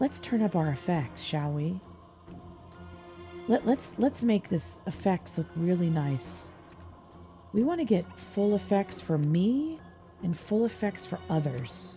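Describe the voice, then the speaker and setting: With music playing in the background, the speech moves very slowly and has long, frequent pauses. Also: woman. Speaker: content creator, streamer, voice actor. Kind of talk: soft ASMR gaming commentary. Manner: soft-spoken, relaxed, humorous.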